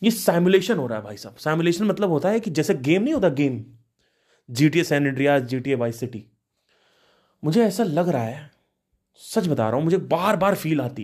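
A man of fairly high pitch at a moderate pace, with very wide pitch swings, big swings in loudness and long, frequent pauses. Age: 30s. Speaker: spiritual podcaster. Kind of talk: solo monologue.

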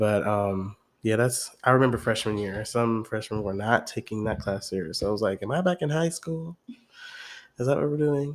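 A man talks in an ordinary speaking voice at a medium pitch. His intonation is lively and his pace moderate. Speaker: podcast co-host, college student. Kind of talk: casual chat.

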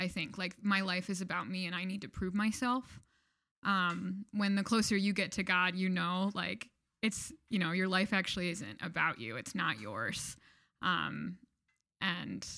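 A woman with an American accent speaks with vocal fry in a very clean recording with a silent background. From Michigan, US. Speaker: campus ministry worker. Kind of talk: casual interview chat.

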